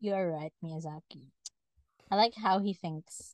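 A woman speaks with a Filipino accent. The sound is dry and close, with no echo. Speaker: podcast co-host. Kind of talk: casual chat. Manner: animated.

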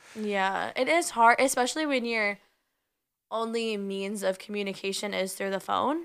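A woman with an unremarkable speaking voice talks at a medium pitch and a moderate pace with ordinary pitch variation, in a very clean recording over a silent background. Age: 20s. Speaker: podcast co-host. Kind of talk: casual chat.

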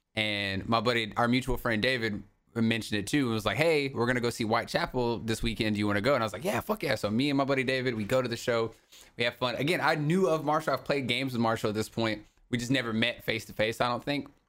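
In an American accent, a man speaks at a very fast pace and medium pitch with ordinary pitch variation, recorded very cleanly against a silent background. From US South. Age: 20s. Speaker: podcast host. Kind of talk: casual chat. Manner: animated.

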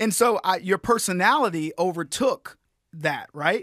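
A man with an American accent talks at a fairly slow pace in a bright, sharp, animated tone. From Texas. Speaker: comedian and political commentator. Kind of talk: casual chat.

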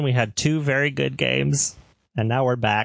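Medium pitch and a moderate pace in a man's voice, a normal speaking voice. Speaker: podcast host. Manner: casual, jokey.

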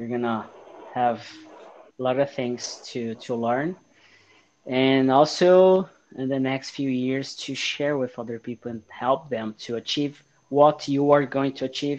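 Against a quiet background, a man at medium pitch speaks with a Portuguese accent, fairly even intonation and long, frequent pauses. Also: fairly slow pace. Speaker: podcast host. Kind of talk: casual interview.

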